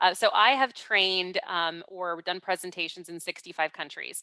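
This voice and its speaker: A woman with an American accent speaks at a fairly quick pace with a bright, sharp tone and fairly even intonation, in a very clean recording with a silent background and dry, close sound with no echo. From US (California and New York). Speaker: business executive and author, speaker. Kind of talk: lecture. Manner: fast.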